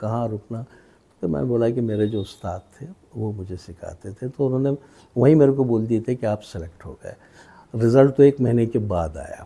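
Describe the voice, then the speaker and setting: A man speaks with a dark, mellow tone at a medium pitch and ordinary pitch variation. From Aurangabad, India. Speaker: radio broadcaster and novelist. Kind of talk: interview answer.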